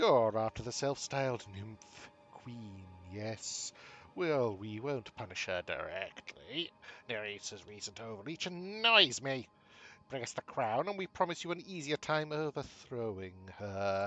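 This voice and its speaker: Using a put-on character voice, a man speaks at a medium pitch and a fairly slow pace. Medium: game stream. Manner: aloof, condescending, speaks as "we".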